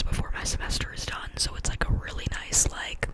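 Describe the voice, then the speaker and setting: A woman whispering at a fairly quick pace over noticeable background noise. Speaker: ASMR creator. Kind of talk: ASMR ramble. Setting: bedroom. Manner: whispered.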